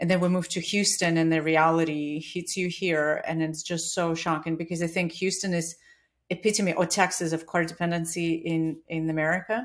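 A woman with a Russian accent, monotone and flat in intonation, at a fairly quick pace. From Russia (Siberia). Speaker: bike shop owner. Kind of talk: casual interview chat.

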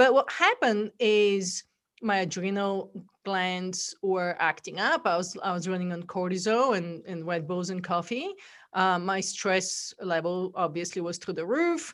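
A woman with an American accent, medium pitch, fairly slow pace and ordinary pitch variation, on a very clean recording with a silent background. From Bulgaria. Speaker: entrepreneur and wellness movement founder. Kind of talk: podcast interview.

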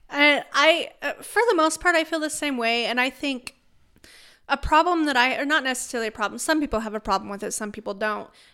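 A woman with a high pitch uses a raised, projected voice. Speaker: podcast co-host.

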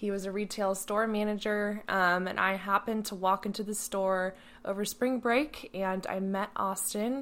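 A woman talks in a normal speaking voice at a medium pitch and a moderate pace. Her intonation stays fairly even, with hardly any pauses. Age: 20s. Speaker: podcast co-host, former competitive swimmer. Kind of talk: casual chat.

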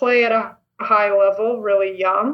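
A woman with a Canadian accent has an unremarkable speaking voice, a fairly high pitch and fairly even intonation. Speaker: volleyball player. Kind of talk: interview.

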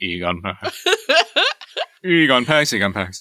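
This is a put-on character voice, delivered at a fairly slow pace. The words come out mumbled. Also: man, fairly low pitch for a man. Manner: mumbling.

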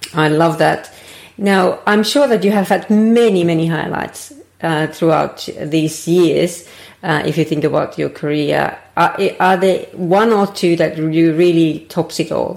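The speaker has a Finnish accent and a fairly slow pace. Pitch variation is ordinary. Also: woman. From Finland. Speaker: podcast host. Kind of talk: interview.

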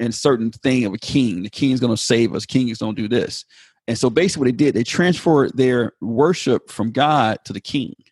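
A man with an ordinary speaking voice talks at medium pitch with ordinary pitch variation, the sound dry and close with no echo. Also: fairly quick pace. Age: 40s. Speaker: pastor. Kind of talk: casual chat.

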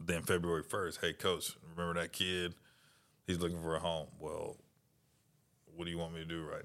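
In a very clean recording with a silent background, a man with an American accent speaks at a very deep, low pitch and a moderate pace. His intonation is monotone and flat, with big swings in loudness and long, frequent pauses. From Florida (Daytona). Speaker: college football coach. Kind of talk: interview. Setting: coaching clinic.

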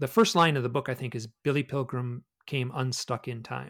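A man with an American accent speaks in a plain, everyday voice at medium pitch and a moderate pace, with ordinary pitch variation, in a very clean recording with a silent background and a dry, close sound with no echo. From US Midwest, Michigan. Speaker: author and researcher of UFO experiences. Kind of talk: casual interview chat.

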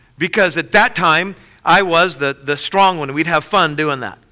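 A man's fairly high, bright and sharp voice with ordinary pitch variation. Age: 40s. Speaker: pastor. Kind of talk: sermon.

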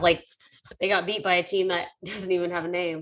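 The speaker has an American accent and talks at a moderate pace with monotone, flat intonation. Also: woman. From Texas. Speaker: sports betting podcast co-host. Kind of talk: casual chat.

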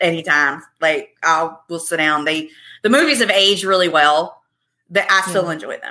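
This woman has an American accent and a fairly low pitch. Her tone is bright and sharp, and she moves at a moderate pace. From Virginia. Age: 40s. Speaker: podcast guest. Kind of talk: casual chat.

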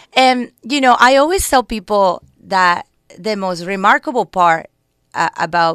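Someone speaks in a Colombian accent with a dry, close sound and no echo. The recording is very clean, with a silent background. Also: woman. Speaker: political candidate and community organizer. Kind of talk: radio interview. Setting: radio studio.

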